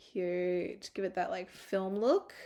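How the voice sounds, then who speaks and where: A woman is speaking. Her pace is very slow. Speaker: photographer and preset creator. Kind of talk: screen-recorded editing tutorial. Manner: casual, chatty.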